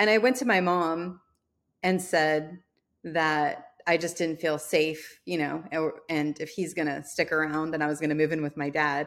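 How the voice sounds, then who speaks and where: Very deep and low in pitch, a woman speaks at a moderate pace with fairly even intonation in a very clean recording with a silent background. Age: 40s. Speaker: entrepreneur and podcast host. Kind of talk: interview.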